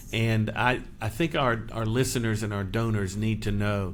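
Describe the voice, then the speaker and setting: There is audible room echo around a man whose voice is fairly low-pitched. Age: 60s. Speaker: podcast host, charity leader. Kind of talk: interview.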